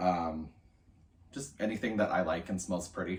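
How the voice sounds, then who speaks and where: At a moderate pace, a man talks with a very deep, low pitch. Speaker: college student. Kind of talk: video journal entry, casual monologue. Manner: casual, many fillers.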